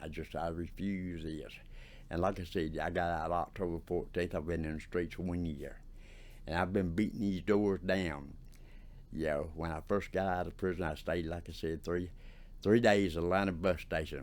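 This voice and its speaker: A man with a Southern US accent speaks in a very deep, low voice at a moderate pace. His intonation is flat and monotone, and the room echo is audible. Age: 60s. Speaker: formerly homeless ex-prisoner. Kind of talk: oral history interview. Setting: office interview. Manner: halting, repetitive.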